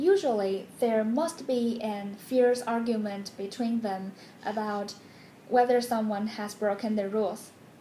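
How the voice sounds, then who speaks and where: This woman has a fairly high pitch, a dark, mellow tone and a somewhat breathy quality, speaking with a Chinese accent and fairly even intonation. Light background noise and audible room echo are present. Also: fairly slow pace. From China, Beijing. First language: Mandarin Chinese. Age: 20s. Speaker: graduate program applicant. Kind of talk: application video monologue. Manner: formal. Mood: warm, nostalgic, smiling. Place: home room. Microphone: phone near.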